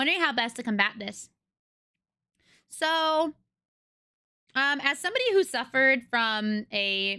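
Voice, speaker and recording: Bright and sharp in tone, a raised, projected voice with an American accent moves at a fairly slow pace with lively intonation and long, frequent pauses. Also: woman, high pitch for a woman. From US West Coast. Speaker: streamer. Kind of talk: casual chat answering live chat questions. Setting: live stream.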